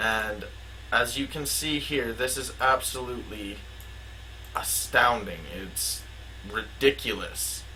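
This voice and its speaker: A man speaks at a very slow pace, with long, frequent pauses. The room has audible echo. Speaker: conspiracy video maker. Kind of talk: casual commentary with read-out plot summary. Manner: halting with filler words.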